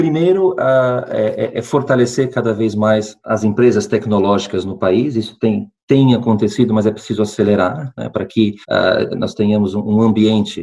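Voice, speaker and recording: Pitched at a medium level, a man talks in a dark, mellow tone with ordinary pitch variation. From Brazil, interior of São Paulo state. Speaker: healthcare company executive. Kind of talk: interview. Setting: remote call. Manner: halting, many fillers and repetitions.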